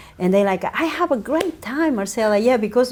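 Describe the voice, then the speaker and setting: Lively intonation in a Spanish accent. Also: woman. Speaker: media entrepreneur and radio host. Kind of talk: interview.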